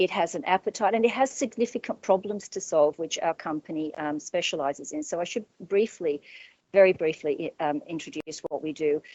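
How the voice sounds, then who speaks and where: A woman speaks at a fairly quick pace in a fairly low voice, her intonation lively. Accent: Australian. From Australia. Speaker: business owner. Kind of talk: panel discussion. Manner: halting.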